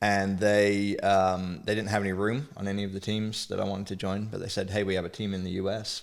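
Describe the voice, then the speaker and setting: With an English accent, a man talks at a fairly quick pace and a fairly low pitch, his intonation monotone and flat, with hardly any pauses. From England. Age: 40s. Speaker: teacher. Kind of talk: casual chat.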